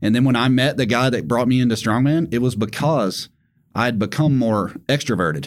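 A man's medium-pitched voice in a Southern US accent, with a moderate pace, ordinary pitch variation and very even loudness. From Tennessee. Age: 30s. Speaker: strongman athlete and ex-Marine. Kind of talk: casual chat.

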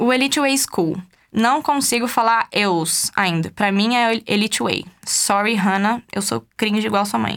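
In an ordinary speaking voice, a woman with a fairly high pitch talks at a fairly slow pace with ordinary pitch variation and very even loudness, on a very clean recording with a silent background. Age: 20s. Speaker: podcast host. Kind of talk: casual commentary monologue. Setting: studio.

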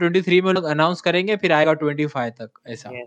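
With a high pitch and ordinary pitch variation, a man is talking. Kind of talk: casual chat. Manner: animated.

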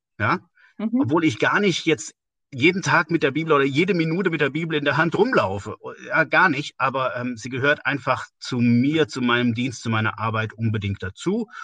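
A man at a moderate pace, bright and sharp in tone, dry and close with no echo, against a quiet background. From Westerwald, Rhineland-Palatinate, western Germany. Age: 50s. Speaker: church organisation leader. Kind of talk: casual interview.

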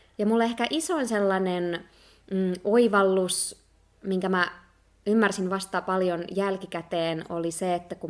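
A woman's fairly low voice, fairly slow and with fairly even intonation. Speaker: podcast co-host. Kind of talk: casual chat.

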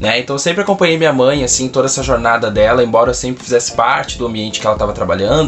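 Noticeable background noise fills the clip. The speaker is a man with a medium-pitched voice. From southern Brazil, Rio Grande do Sul. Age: 20s. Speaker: teacher. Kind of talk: casual interview answers to camera.

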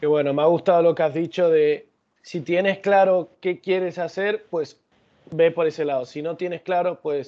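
A man speaks at a high pitch and a moderate pace. His intonation stays fairly even. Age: young. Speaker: podcast host. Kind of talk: interview.

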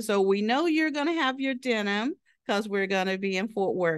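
A woman with an American accent speaks in an unremarkable speaking voice at a fairly high pitch, with lively intonation. The background is quiet. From southeastern Oklahoma. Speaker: human resources director, military veteran. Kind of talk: casual interview. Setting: office.

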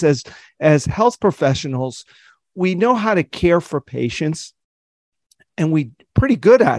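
Man with an ordinary speaking voice, lively intonation and moderate pace, dry close sound with no echo, quiet background. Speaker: podcast host, optometrist. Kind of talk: interview conversation.

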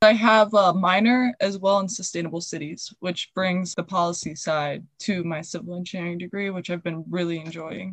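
A woman with a plain, everyday voice talks at a medium pitch and moderate pace, with fairly even intonation, hardly any pauses and big swings in loudness. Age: 20s. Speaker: podcast host and student. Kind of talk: interview.

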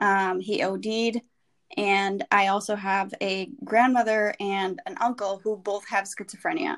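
Using an unremarkable speaking voice with an American accent, a woman talks at a fairly slow pace and medium pitch, with ordinary pitch variation, in a very clean recording with a silent background. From US Midwest, Wisconsin. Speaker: advertising professional. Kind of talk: personal story interview.

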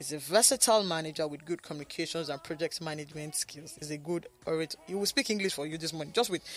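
A man at a very fast pace with hardly any pauses, fairly high in pitch with ordinary variation, music in the background. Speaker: radio show host. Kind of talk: radio talk show.

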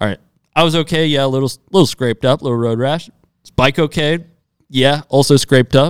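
A fairly high-pitched man with an American accent at a fairly quick pace, ordinary pitch variation and long, frequent pauses, in a very clean recording with a silent background. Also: dry, close sound with no echo. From US Midwest. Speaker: professional off-road motorcycle racer. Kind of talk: casual interview chat. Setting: studio.

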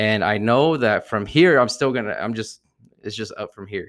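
Captured in a very clean recording with a silent background, a man with an ordinary speaking voice and a fairly low pitch talks at a fairly quick pace with ordinary pitch variation. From US Northeast, New Jersey. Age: 30s. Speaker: podcast co-host. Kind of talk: casual chat.

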